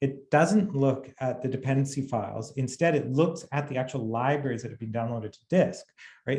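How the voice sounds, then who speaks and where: Somewhat breathy speech delivered at a fairly quick pace, with ordinary pitch variation. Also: man. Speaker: software company co-founder and CTO. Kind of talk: webinar presentation. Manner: fast.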